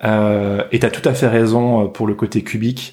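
Very slowly and in a monotone, flat intonation, a man with a fairly low pitch speaks in a very clean recording with a silent background. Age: 30s. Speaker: illustrator. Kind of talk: casual chat.

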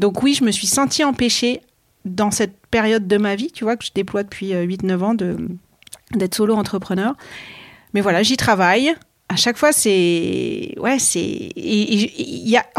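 A woman's medium-pitched voice, very slow and lively in intonation, on a very clean recording with a silent background. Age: 40s. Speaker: podcast host. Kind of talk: interview conversation. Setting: interviewees' office.

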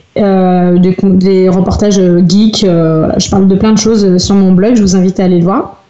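A woman speaks at a fairly slow pace in a monotone, flat intonation, her medium pitch and loudness staying very even. Noticeable background noise runs underneath. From France, Rennes area. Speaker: cosplayer and blogger. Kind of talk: casual podcast interview.

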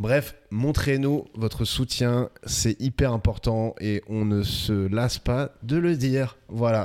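This man talks at a very slow pace. His pitch varies in an ordinary way. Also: medium pitch for a man, very even loudness. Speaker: podcast co-host. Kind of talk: casual chat.

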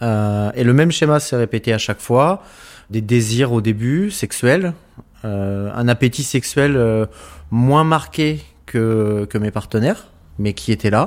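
A man's medium-pitched voice at a very slow pace, with lively intonation. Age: 30s. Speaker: interviewee, asexual person. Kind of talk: interview testimony. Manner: halting.

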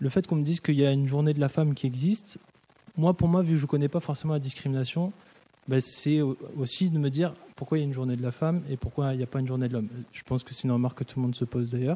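A man's pitch varies in an ordinary way as he rushes at a very fast pace. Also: fairly high pitch for a man. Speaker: musician and sound designer. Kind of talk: casual discussion.

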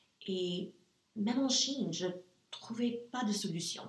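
A woman with an English accent speaks at a very slow pace, with ordinary pitch variation. Audible room echo fills the recording. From US South, Nashville, Tennessee. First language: English (speaking French). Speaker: entrepreneur. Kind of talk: interview. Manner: halting.

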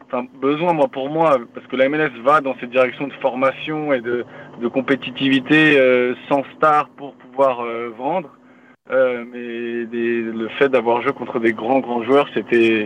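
Very slow speech from a man, medium in pitch and fairly even in intonation. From France, Paris region (Yvelines). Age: 30s. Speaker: professional football defender. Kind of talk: podcast interview.

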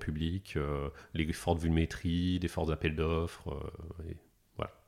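Very deep and low in pitch, a man speaks at a fairly slow pace in a flat monotone. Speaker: technology executive. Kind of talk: casual interview. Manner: calm.

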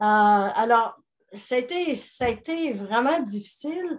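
Very slowly and with lively intonation, a woman speaks. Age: 70s. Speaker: business coach and author. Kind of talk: interview testimony.

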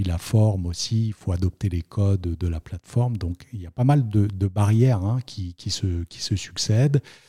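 Barely pausing at a moderate pace, a man with a fairly low pitch and a dark, mellow, somewhat breathy tone shows ordinary pitch variation, in a dry, close sound with no echo and a very clean, silent background. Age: 40s. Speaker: notary. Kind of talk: interview. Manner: hesitant, many fillers and repetitions.

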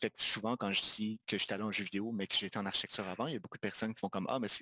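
In a very clean recording with a silent background, a man talks with a bright, sharp tone and a dry, close sound with no echo. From Quebec, Magdalen Islands. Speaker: video game designer and studio co-founder. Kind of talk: casual interview chat.

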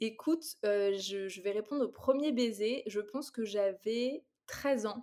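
A woman's fairly high pitch in a dark, mellow tone at a very slow pace. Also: ordinary pitch variation. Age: 30s. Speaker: content creator. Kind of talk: casual chat.

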